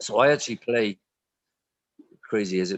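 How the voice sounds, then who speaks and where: A man with a Welsh accent. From Wales. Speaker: stage actor. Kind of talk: casual interview chat. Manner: halting, many repeated words and fillers.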